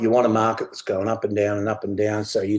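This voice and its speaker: A man of medium pitch with a rural Australian accent, against a quiet background. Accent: broad rural Australian. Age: 60s. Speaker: sheep and beef farmer, workshop speaker. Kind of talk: workshop talk. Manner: casual, plain-spoken.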